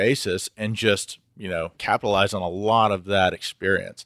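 A man with an American accent uses a normal speaking voice at a moderate pace and with fairly even intonation. The sound is dry and close with no echo, on a very clean recording with a silent background. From Houston, Texas. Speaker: recruiting firm CEO. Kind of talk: casual interview.

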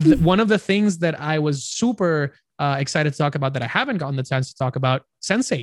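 Recorded with a dry, close sound and no echo, a man speaks at a very fast pace, somewhat breathy, with lively intonation. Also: fairly high pitch for a man, quiet background. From Puerto Rico. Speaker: content creator. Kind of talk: casual chat. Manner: halting.

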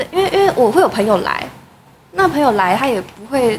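With lively intonation and a fairly quick pace, a woman talks over noticeable background noise. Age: 20s. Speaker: metalwork designer, recent graduate. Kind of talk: casual chat.

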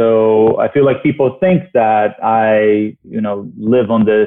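Speaking with a Portuguese accent, a man keeps a medium pitch with ordinary pitch variation. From Brazil (Rio). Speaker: TV host and journalist. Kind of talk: casual interview chat.

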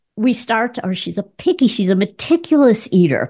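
Against a quiet background, a woman speaks with a fairly high, somewhat breathy voice, a dark, mellow tone and lively intonation. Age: 70s. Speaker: clinical psychologist and educator. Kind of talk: interview.

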